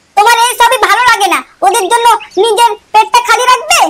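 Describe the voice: A cartoonish character voice, squeaky in sound. Its loudness stays very even throughout. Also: woman, extremely high pitch for a woman, moderate pace, fairly even intonation.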